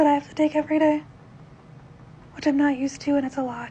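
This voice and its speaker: A woman's monotone, flat delivery. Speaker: vlogger sharing health updates. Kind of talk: casual video update. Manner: informal with many fillers.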